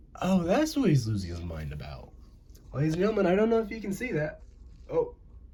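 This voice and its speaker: A man with an American accent at a very fast pace, big swings in loudness, and audible room echo. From US, mixed northern and southern. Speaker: amateur animator. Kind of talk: casual drawing commentary. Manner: casual, rambling.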